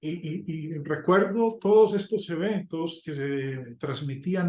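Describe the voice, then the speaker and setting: Talking at a very slow pace, a man uses a fairly high pitch. His pitch varies in an ordinary way. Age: 60s. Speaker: preacher. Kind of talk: sermon. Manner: halting.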